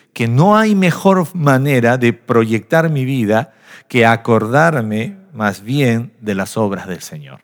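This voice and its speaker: On a very clean recording with a silent background, a man at a medium pitch talks at a very slow pace with very wide pitch swings. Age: 40s. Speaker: pastor. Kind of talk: sermon. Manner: animated.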